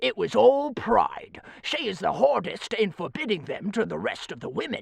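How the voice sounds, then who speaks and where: A put-on character voice at a fairly high pitch. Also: moderate pace. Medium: read story. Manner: self-important, knowing.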